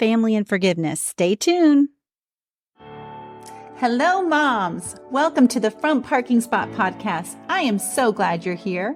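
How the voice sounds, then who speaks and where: Music sits in the background while a woman speaks at a fairly slow pace. Her fairly high voice moves in very wide pitch swings. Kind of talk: podcast intro.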